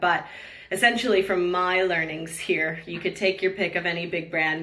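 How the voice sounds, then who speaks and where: Speaking with a North American accent, a woman talks at a fairly quick pace in a fairly low pitch with fairly even intonation. Noticeable background noise and audible room echo are present. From San Diego, California, US. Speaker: real estate recruiter. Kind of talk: podcast interview.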